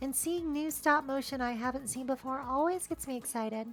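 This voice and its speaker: Over music in the background, a woman speaks at a moderate pace in a high pitch, with a playful tone and lively intonation. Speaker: video essayist. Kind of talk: documentary narration. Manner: wry, playful.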